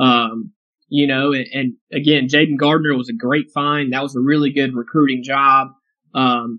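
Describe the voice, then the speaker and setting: With an American accent, a man speaks in a normal speaking voice at a moderate pace, his intonation fairly even. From North Carolina, Raleigh area. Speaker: sports reporter. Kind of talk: interview.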